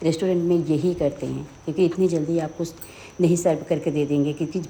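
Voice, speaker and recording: A woman's very deep, low voice, fairly slow and flat in a monotone. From Uttar Pradesh, India (Sultanpur). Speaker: home cooking video host. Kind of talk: cooking tutorial.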